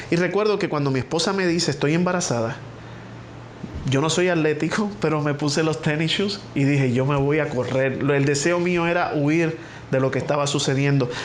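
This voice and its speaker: Amid noticeable background noise and audible room echo, a man with a Puerto Rican accent talks at a fairly quick pace in a fairly high pitch, with ordinary pitch variation and very even loudness. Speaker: pastor. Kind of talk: testimony.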